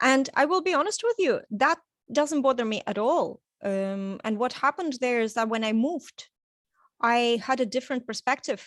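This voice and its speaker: A woman with a Russian accent speaks at a moderate pace in a high voice with lively intonation. The sound is dry and close, with no echo. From Estonia, Tallinn. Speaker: coaching client. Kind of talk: testimonial interview. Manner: halting.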